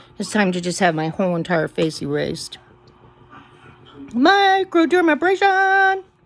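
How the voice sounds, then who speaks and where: Over noticeable background noise, a woman with a high pitch speaks in an animated tone at a fairly slow pace, her pitch swinging very widely and her speech broken by long, frequent pauses. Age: 60s. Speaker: vlogger. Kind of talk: casual chat.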